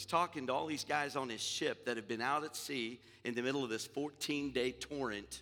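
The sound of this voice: Ordinary pitch variation from an unforced reading voice.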